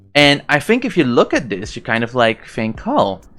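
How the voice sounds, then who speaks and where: Music plays in the background as a man speaks with a non-native accent. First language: not English. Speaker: YouTuber explaining science. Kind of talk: casual explainer monologue. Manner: halting, many fillers and self-corrections.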